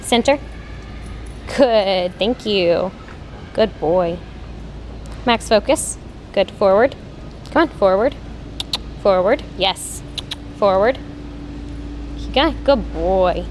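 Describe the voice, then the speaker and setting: Speech comes at a very slow pace with long, frequent pauses, over music in the background. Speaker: trainer. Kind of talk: short dog training commands. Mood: calm, encouraging. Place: shop. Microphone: phone near.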